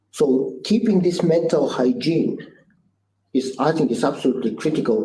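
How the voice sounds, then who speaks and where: Audible room echo surrounds a man with a dark, mellow tone who speaks at a fairly quick pace with lively intonation. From Bulgaria. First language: Bulgarian. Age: 60s. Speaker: business founder and CEO. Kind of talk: interview. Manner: halting.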